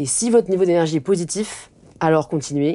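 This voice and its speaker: Pitch varies in an ordinary way, and the tone is dark and mellow. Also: woman. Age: 20s. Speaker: influencer and author; influencer. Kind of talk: interview conversation. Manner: hesitant with fillers. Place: home room.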